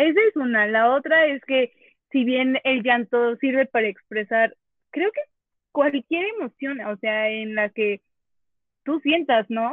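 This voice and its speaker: Lively intonation marks this woman's high-pitched voice. She talks at a very slow pace. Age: 20s. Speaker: psychology graduate, guest. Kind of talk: casual group discussion.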